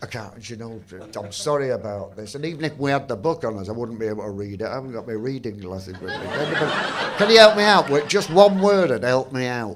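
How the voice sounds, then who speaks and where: In a Mancunian accent, the speaker talks fairly quickly with very wide pitch swings and big swings in loudness, over noticeable background noise. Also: man. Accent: Northern English, Mancunian. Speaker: performance poet. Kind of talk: on-stage conversation, casual. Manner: dry, witty.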